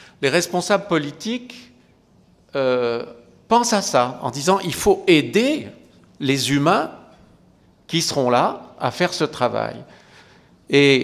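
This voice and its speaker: Speech comes at a very slow pace, with very wide swings in pitch. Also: man. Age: 60s. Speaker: geriatrician. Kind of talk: conference talk. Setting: lecture hall with audience. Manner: conversational, hesitant.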